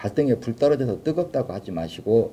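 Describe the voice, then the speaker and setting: A dark, mellow tone with lively intonation. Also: man. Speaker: alternative health therapy founder and lecturer. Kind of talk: live lecture. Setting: live stream. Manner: fast.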